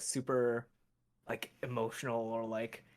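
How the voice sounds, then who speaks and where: This is a man's voice. It sits at a medium pitch. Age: 20s. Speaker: voice actor. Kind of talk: casual chat. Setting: livestream. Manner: hesitant, filler-heavy.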